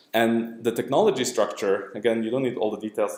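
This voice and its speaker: Audible room echo surrounds a man at medium pitch. His tone is dark and mellow. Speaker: academic researcher presenting his work. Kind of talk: lecture. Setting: lab seminar room with audience. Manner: fast.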